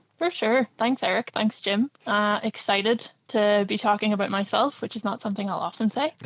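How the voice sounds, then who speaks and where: Speaking in a Northern Irish accent, a woman talks at a moderate pace with hardly any pauses, a fairly high pitch and ordinary pitch variation, in a dry, close sound with no echo. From Northern Ireland. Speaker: director of a youth soccer club. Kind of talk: interview.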